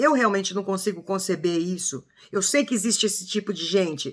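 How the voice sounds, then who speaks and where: Its pitch moves in an ordinary way. The delivery goes at a moderate speed. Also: woman. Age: 60s. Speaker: true crime commentator. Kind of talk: casual video commentary. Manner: emotional, halting with false starts.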